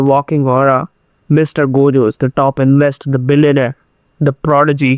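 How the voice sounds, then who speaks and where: A man with a fairly high pitch talks in a monotone, flat intonation at a moderate pace, the sound dry and close with no echo. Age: 20s. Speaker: YouTuber. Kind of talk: motivational monologue.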